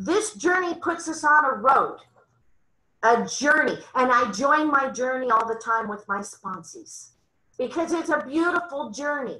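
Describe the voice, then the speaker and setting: In a raised, projected voice with a bright, sharp tone, a woman speaks at a fairly slow pace with very wide pitch swings. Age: 60s. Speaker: twelve-step meeting speaker. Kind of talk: testimony. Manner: animated.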